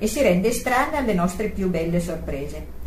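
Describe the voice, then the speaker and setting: A woman speaks at a moderate pace and a medium pitch over noticeable background noise. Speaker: prayer group participant. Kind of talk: reading aloud.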